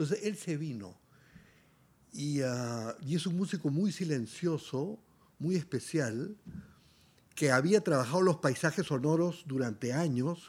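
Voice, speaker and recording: A man's fairly high voice with lively intonation, at a fairly slow pace with long, frequent pauses, on a very clean recording with a silent background. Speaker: musician and artist. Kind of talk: interview conversation.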